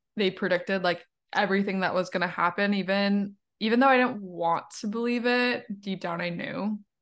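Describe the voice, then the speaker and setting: A woman with an unremarkable speaking voice talks at a moderate pace in a medium pitch, her intonation fairly even over a quiet background. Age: 20s. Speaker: podcast host. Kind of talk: casual interview chat.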